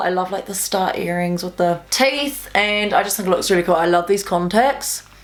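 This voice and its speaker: Noticeable background noise sits behind a woman's voice. She speaks at medium pitch with ordinary pitch variation. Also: hardly any pauses. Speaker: makeup youtuber. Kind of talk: makeup tutorial.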